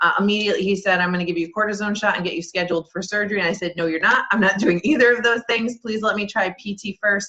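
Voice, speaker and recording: A woman with a medium pitch speaks at a very fast pace. She uses fairly even intonation and hardly any pauses. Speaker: wellness business coach. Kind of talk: webinar presentation.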